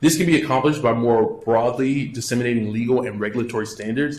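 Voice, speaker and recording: Somewhat breathy, a man with an American accent talks at a very fast pace with a medium pitch and fairly even intonation. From US South (Louisiana, Baton Rouge). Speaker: physician. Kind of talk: lecture.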